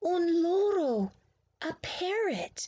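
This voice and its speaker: A woman puts on a character voice at an extremely high pitch. Her intonation is lively. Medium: read story.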